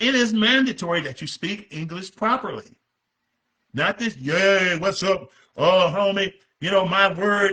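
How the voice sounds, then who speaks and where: A man speaks in a high, raised, projected voice with a bright, sharp and animated tone. He goes at a fairly slow pace with ordinary pitch variation. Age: 60s. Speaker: pastor and author. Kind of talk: book presentation talk. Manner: halting.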